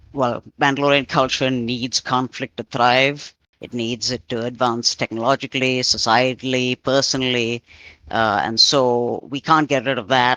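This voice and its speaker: A man at medium pitch, bright and sharp in tone, fairly slow pace, dry, close sound with no echo. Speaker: roleplayer. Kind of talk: casual group discussion. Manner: halting.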